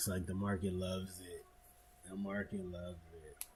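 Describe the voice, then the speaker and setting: This man's voice has a dark, mellow tone and is somewhat breathy. He talks at a fairly slow pace. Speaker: stock market live streamer. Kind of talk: live market commentary. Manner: casual, conversational.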